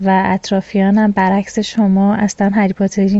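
A woman talks with a medium pitch. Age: 30s. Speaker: listener sending a voice message. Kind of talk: recorded listener voice message. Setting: self-recorded voice message.

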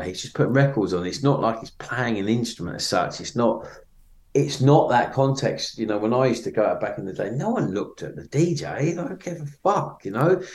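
A man speaks at a fairly quick pace with a medium pitch and lively intonation. He has a southeast English accent. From Kent, southeast England. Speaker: DJ and record label owner. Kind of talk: interview conversation. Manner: hesitant, filler-heavy.

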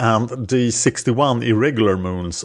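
A man speaks at a fairly slow pace in a Swedish accent. His pitch is fairly low, with ordinary variation. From Sweden. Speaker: podcast host. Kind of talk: educational monologue about astronomy. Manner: halting with filler words.

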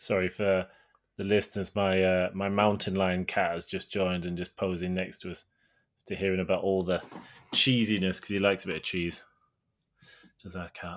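Long, frequent pauses break up speech delivered at a moderate pace in a monotone, flat intonation. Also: man, very deep, low pitch for a man, very clean recording, silent background. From Yorkshire. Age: 20s. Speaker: podcast co-host. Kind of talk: casual chat.

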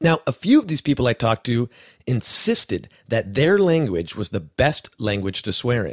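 This is a man with an ordinary speaking voice at medium pitch. He talks at a moderate pace on a very clean recording with a silent background. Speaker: podcast host. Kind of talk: scripted narration with interview chat.

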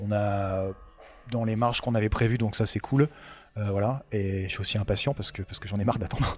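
A man talks fairly quickly, and his intonation stays fairly even. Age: 30s. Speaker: future bar manager, former aviation mechanic. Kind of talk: casual interview. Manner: hesitant, many fillers.

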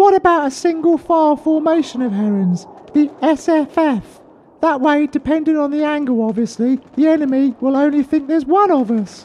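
A put-on character voice at a high pitch and a moderate pace. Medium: comedy sketch. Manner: chatty, rambling, anxious.

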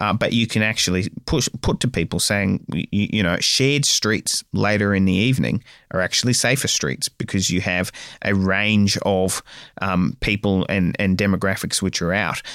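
In an Australian accent, a man talks at a moderate pace and a fairly low pitch, his loudness very even and his pitch varying an ordinary amount. The recording is very clean with a silent background, dry and close with no echo. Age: 30s. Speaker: mayor. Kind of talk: interview. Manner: halting, frequent filler words and repeats.

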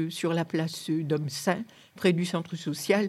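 Fairly low in pitch, a woman speaks with a dark, mellow tone in a monotone, flat intonation. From northern France, Lomme near Lille. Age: 80s+. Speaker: longtime resident. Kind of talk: reminiscing interview.

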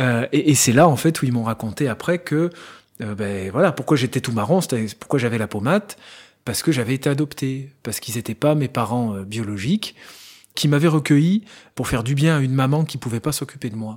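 The recording is very clean with a silent background. A man at a medium pitch speaks at a fairly quick pace with lively intonation. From France, Loire (Saint-Étienne area). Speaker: interviewee sharing adoption story. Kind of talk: personal testimony. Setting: at home. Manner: hesitant, with fillers.

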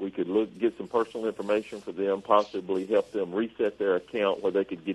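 In an unremarkable speaking voice, a man talks at a fairly quick pace with hardly any pauses, keeping a fairly low pitch and fairly even intonation. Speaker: government agency regional manager. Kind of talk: call-in radio Q&A. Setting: radio studio.

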